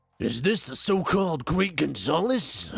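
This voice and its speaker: This man puts on a character voice with a high pitch. His pace is moderate. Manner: menacing, theatrical.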